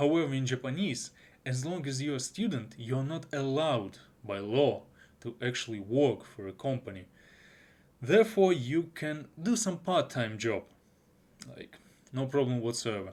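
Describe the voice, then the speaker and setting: Medium-pitched male voice in a Russian accent, with lively intonation, a moderate pace and long, frequent pauses. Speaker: anime reviewer. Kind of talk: video review. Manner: halting.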